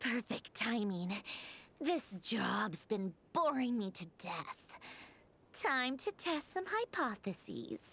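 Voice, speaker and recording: A female-sounding put-on character voice, fairly high in pitch, comes with an amused tone. The pace is very slow, with long, frequent pauses. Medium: video game. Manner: cool, condescending, amused.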